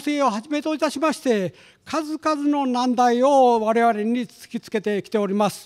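With lively intonation and a fairly slow pace, a man speaks at an extremely high pitch over a quiet background. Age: 70s. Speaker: research institute director, economist. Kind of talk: formal opening speech at a symposium. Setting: conference hall with audience. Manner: formal; hesitant with fillers. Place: hall. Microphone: podium.

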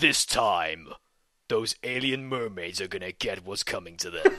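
A man adopts a put-on character voice, his pitch medium and his pace moderate. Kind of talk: dramatic, epic announcer. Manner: epic, dramatic.

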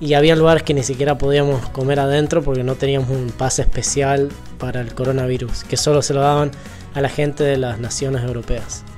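A man talks at a very fast pace with monotone, flat intonation. Faint music plays in the background. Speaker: travel vlogger. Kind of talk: casual vlog chat. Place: home room. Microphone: lapel.

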